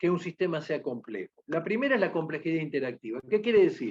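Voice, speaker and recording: Recorded dry and close with no echo, a man speaks in a high voice. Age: 60s. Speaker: lecturer on patient safety. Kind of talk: lecture.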